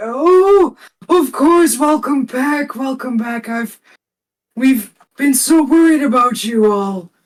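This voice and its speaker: At a fairly slow pace, a man uses a put-on character voice at extremely high pitch. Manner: friendly, welcoming, dazed.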